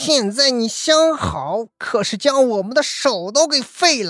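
A loud, put-on character voice from a woman, high-pitched and fairly bright, with big pitch swings and a fairly slow pace

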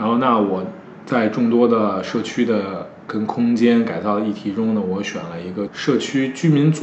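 Speaking with a Beijing accent, a man talks at a moderate pace and medium pitch. Noticeable background noise and audible room echo surround him. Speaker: curator and artist. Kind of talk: interview conversation. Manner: hesitant, many fillers.

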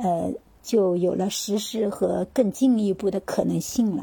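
Somewhat breathy and dark, mellow in tone, a woman speaks at a medium pitch and a fairly slow pace. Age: 50s. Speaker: retiree and yoga practitioner. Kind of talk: casual interview.

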